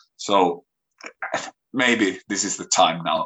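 A man speaks with a Finnish accent. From Finland. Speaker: musician and youth worker. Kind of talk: interview. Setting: video call.

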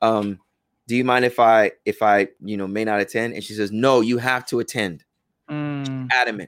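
An ordinary speaking voice from a man with an American accent, medium in pitch with fairly even intonation at a moderate pace, in a very clean recording with a silent background and a dry, close sound with no echo. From United States, Ghanaian family. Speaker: imam and Islamic teacher. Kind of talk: podcast interview.

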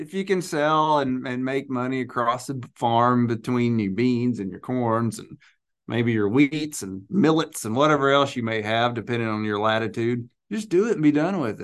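A plain, everyday voice with an American accent at a moderate pace, against a quiet background. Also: man, medium pitch for a man, ordinary pitch variation. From Arkansas, US South. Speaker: grain merchandiser. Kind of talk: casual chat about grain marketing.

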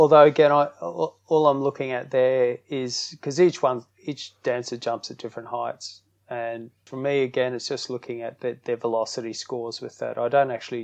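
With an Australian accent and a medium pitch, a man speaks at a moderate pace with ordinary pitch variation and big swings in loudness, over a quiet background. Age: 50s. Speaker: strength and conditioning coach. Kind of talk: interview.

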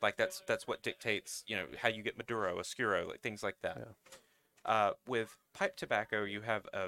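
In a Southern US accent, a man speaks at a moderate pace and fairly low pitch, his tone bright and sharp, with a dry, close sound and no echo. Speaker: national account manager for a distributor. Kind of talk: casual chat.

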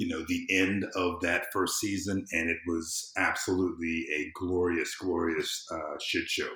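Audible room echo follows a man with an American accent who talks at a medium tempo. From US South. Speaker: civic engagement consultant. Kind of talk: casual chat.

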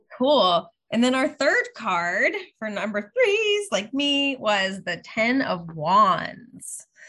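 A woman in a Pittsburgh accent at a very slow pace. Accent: Pittsburgh American. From US, Pittsburgh. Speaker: tarot reader. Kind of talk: casual interview chat.

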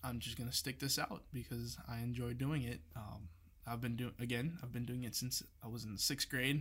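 The voice has vocal fry, a moderate pace and ordinary pitch variation. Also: man, medium pitch for a man. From Brazil. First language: Portuguese. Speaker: creative director. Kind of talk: casual interview.

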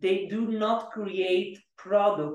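A man speaks with an Italian accent. Audible room echo surrounds his voice. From Italy (Florence). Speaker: startup founder and CEO. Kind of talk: interview. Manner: halting, with many repetitions.

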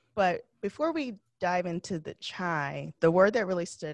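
A woman's fairly low pitch with ordinary variation, an ordinary speaking voice at a moderate pace, dry and close with no echo, over a quiet background. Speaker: podcast host. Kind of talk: interview host.

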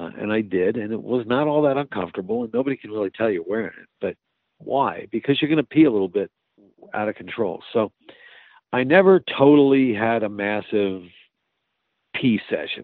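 With lively intonation and big swings in loudness, a man speaks at a medium pitch, leaving long, frequent pauses. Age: 60s. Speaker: fire chief. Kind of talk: casual interview.

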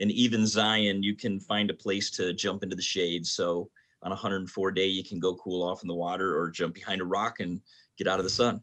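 With an American accent, a man talks in a very deep, low voice with monotone, flat intonation against a quiet background. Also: moderate pace. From Michigan (Detroit). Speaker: pastor. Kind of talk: casual chat.

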